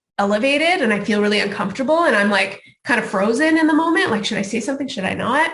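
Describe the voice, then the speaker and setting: Her intonation is lively as the woman speaks. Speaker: speaker on health care racism. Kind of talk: conference talk. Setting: video call. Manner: fast.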